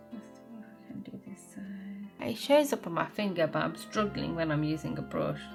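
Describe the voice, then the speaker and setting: A woman's fairly slow speech over music in the background. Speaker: beauty blogger. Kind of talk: casual talk to camera.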